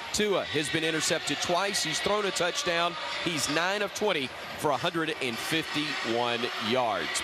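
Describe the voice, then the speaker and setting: Lively intonation marks this man's high voice, heard against clear background noise. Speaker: radio sideline or studio host. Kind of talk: live commentary.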